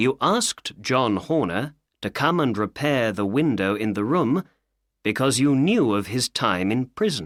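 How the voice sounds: Intonation here is lively in a natural reading voice. Nothing much sounds behind it.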